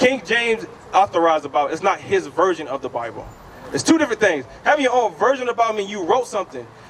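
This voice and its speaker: A loud man speaks with very wide swings in pitch. Noticeable background noise sits behind him. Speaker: street preacher. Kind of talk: street preaching debate.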